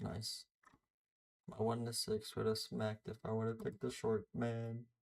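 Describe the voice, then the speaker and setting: Speaking with an American accent, a man keeps a moderate pace, medium pitch, and fairly even intonation, sounding somewhat breathy. The sound is dry and close, with no echo. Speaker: day trader streamer. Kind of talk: live trading commentary.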